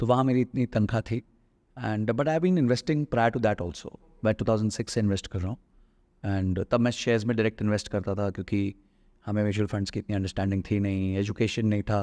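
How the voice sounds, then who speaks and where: Dry and close with no echo, a man's fairly low voice shows ordinary pitch variation against a quiet background. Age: 40s. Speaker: personal finance investor. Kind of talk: podcast interview. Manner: hesitant with fillers.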